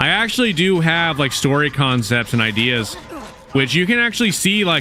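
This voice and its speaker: Over noticeable background noise, a man speaks in a relaxed tone. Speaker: gaming streamer. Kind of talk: live stream chat while gaming. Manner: casual, relaxed.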